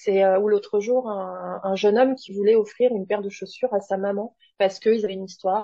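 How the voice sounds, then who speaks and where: A woman's medium-pitched voice stays monotone and flat as she talks fairly quickly. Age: 30s. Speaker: artist and clothing customizer. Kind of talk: casual interview.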